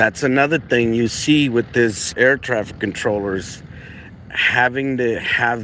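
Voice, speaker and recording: A man of medium pitch with a non-native accent, very slow pace and ordinary pitch variation, over noticeable background noise. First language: not English. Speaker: aviation live streamer. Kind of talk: live stream commentary.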